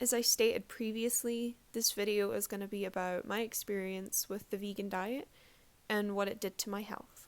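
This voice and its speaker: In a very clean recording with a silent background, a woman with a Scottish accent speaks at a moderate pace in a fairly high pitch, her intonation flat and monotone. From Scotland. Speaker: vlogger, aspiring doctor. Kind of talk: personal testimony vlog. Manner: casual, many fillers.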